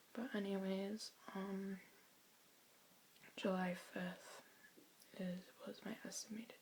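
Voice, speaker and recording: This soft-spoken voice keeps a fairly even intonation and leaves long, frequent pauses. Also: woman. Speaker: vlogger. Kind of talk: personal testimony. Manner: halting.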